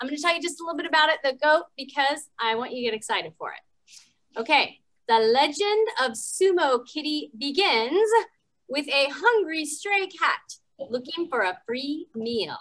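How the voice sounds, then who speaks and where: Against a quiet background, a woman with a high voice talks at a moderate pace. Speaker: story time host. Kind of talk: children's story time hosting. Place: gym.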